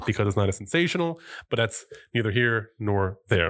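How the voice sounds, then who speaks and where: In a plain, everyday voice, a man talks at a moderate pace with lively intonation, recorded very cleanly against a silent background. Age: 30s. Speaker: podcast host. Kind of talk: casual chat.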